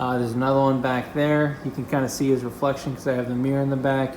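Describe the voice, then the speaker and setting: A man at fairly high pitch with monotone, flat intonation and a fairly quick pace, amid noticeable background noise and audible room echo. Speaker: fish keeping youtuber. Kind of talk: casual video tour. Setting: home fish room. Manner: fast.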